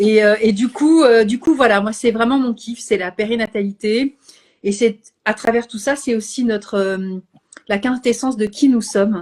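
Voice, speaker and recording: A woman speaks at a fairly slow pace in a somewhat breathy voice. Her intonation stays fairly even. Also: fairly high pitch for a woman. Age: 60s. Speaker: Bach flower practitioner and live host. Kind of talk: casual chat. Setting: Instagram live video. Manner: hesitant, many fillers.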